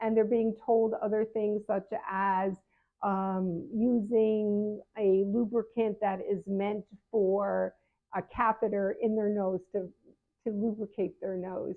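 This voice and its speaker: A woman's medium-pitched voice, very slow and monotone with flat intonation. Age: 70s. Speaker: patient advocate and health coach. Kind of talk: casual advice talk to camera. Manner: conversational with frequent fillers and restarts.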